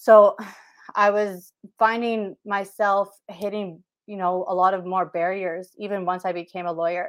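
Against a quiet background, a woman speaks at a moderate pace in a normal speaking voice of medium pitch. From Saskatchewan, Canada (Whitecap Dakota First Nation). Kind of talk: interview.

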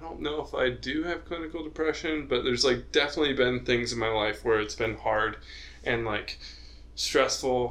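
Audible room echo fills the space. The man talks at a moderate pace. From Utah. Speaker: podcast host, engineering student. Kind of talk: casual chat.

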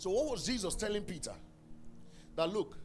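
A man sounds animated, his pitch swinging very widely while music plays in the background. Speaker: preacher. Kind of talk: sermon. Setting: church; stage with audience. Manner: emphatic, exhorting, with commands to the congregation.

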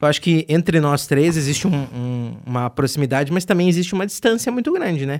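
A man's plain, everyday voice, fairly high in pitch, at a fairly quick pace with lively intonation and hardly any pauses. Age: 20s. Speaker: radio host. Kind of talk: casual chat. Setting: bar table.

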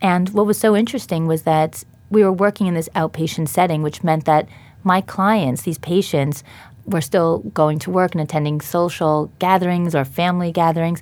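A woman with an unremarkable speaking voice talks at a moderate pace, fairly low in pitch with ordinary variation. The recording is very clean, with a silent background. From New York, Long Island. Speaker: dietitian and company founder. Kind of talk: interview. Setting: studio.

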